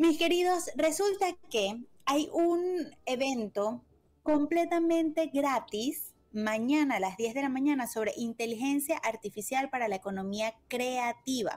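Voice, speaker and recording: Speaking at a fairly slow pace, a woman uses a high pitch and lively intonation. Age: 30s. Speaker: radio co-host; radio program host. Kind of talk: casual chat; news reading. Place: home room.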